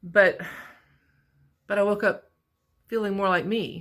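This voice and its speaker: A woman speaks with a bright, sharp tone. Vocal fry runs through her voice. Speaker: vlogger. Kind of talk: personal video diary. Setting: work break room.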